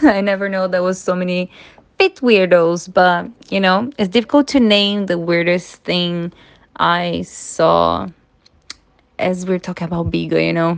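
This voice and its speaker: Over a quiet background, a woman with a Portuguese accent speaks at a fairly slow pace and medium pitch, with fairly even intonation and long, frequent pauses. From Brazil. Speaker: social media influencer and live streamer. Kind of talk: interview.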